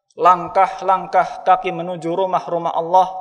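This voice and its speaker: Backed by music, a man speaks fairly slowly at a high pitch. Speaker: preacher. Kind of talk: sermon. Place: church. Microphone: podium.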